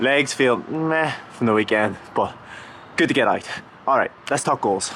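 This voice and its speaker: A man at a medium pitch and fairly slow pace, with very even loudness and noticeable background noise. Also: ordinary pitch variation. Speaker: vlogger and runner. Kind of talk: casual vlog talk to camera. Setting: outdoors on street outside house. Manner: occasionally stumbles over words.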